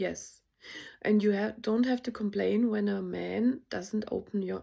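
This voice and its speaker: A woman speaks at a moderate pace. She has a non-native accent. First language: not English. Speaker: spiritual content creator. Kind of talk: casual vlog monologue. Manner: hesitant, many fillers.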